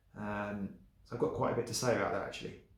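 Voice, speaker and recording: A man's monotone, flat delivery, with audible room echo and noticeable background noise. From England. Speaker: vlogger. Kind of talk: casual vlog monologue. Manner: hesitant, many fillers.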